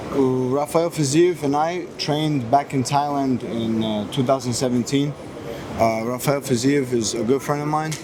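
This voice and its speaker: Noticeable background noise sits behind a man with a fairly high pitch. His intonation is fairly even and his pace moderate. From US (moved from Moscow at six). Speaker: MMA fighter. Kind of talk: press interview. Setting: airport. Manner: halting.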